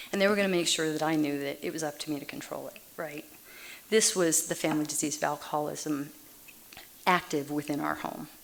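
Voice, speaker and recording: With an American accent, a woman speaks fairly quickly in a very deep, low voice with fairly even intonation. Noticeable background noise runs underneath. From Massachusetts, then Texas from age 9. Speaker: Al-Anon speaker. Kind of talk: recovery meeting talk.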